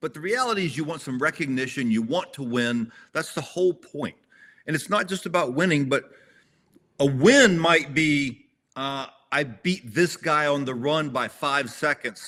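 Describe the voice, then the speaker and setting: This man has a fairly high pitch, a bright, sharp tone, ordinary pitch variation and a moderate pace. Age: 60s. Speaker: tactical games competitor. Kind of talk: casual chat. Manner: halting, repeats words.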